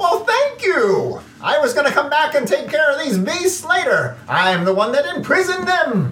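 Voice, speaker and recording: Using a put-on character voice at an extremely high pitch, a man talks in a cheerful tone with very wide pitch swings and hardly any pauses, over light background noise. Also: moderate pace. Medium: actual play. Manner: cheerful, rambling, loud.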